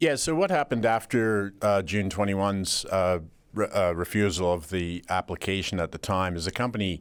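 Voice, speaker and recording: On a very clean recording with a silent background, a man talks at a moderate pace in a fairly low pitch. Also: ordinary pitch variation. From Canada. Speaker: mining company CEO. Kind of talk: radio interview.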